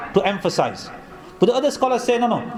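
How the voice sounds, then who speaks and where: A man rushes along at a very fast pace, his pitch varying in an ordinary way, with noticeable background noise behind him. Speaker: Islamic scholar delivering a Quran tafsir lecture. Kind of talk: religious lecture.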